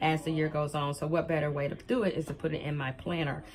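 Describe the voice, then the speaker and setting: A woman with a very deep, low voice speaks at a very fast pace. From US South, Alabama. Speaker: planner vlogger, life coach. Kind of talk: show-and-tell vlog. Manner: chatty, hesitant with many ums.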